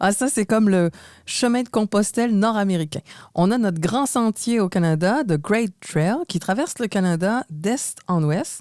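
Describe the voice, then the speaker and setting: Over a very clean, silent background, a woman with a Quebec accent speaks at a fairly slow pace with lively intonation and very even loudness. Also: medium pitch for a woman, dry, close sound with no echo. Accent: Québécois. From Quebec, Montreal. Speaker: podcast co-host. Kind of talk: scripted podcast conversation.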